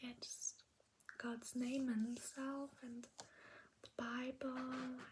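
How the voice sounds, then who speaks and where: With monotone, flat intonation, a woman speaks at a very slow pace and a high pitch. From Germany. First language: German. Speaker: ASMR creator. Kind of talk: ASMR language lesson. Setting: in bed at night. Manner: soft-spoken, whispery.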